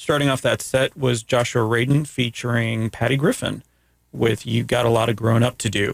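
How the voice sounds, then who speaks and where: A man's voice in an American accent, with vocal fry, fairly even intonation, very even loudness, and a dry, close sound with no echo. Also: medium pitch for a man, moderate pace. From Florida, US. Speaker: radio host. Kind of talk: casual radio interview. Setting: radio studio. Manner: rambling.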